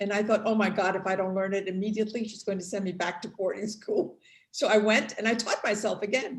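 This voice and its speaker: A woman speaks at a medium pitch. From New York (Puerto Rican family). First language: Spanish. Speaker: daughter of film subject. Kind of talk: panel discussion.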